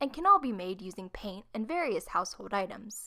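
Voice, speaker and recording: A woman with a fairly high pitch talks at a fairly quick pace, making very wide pitch swings. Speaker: art YouTuber. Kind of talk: craft tutorial voice-over.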